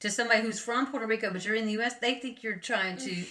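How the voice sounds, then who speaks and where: This woman's voice sits at a fairly high pitch and carries a bright, sharp tone. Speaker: podcast co-host. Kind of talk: casual chat. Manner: halting.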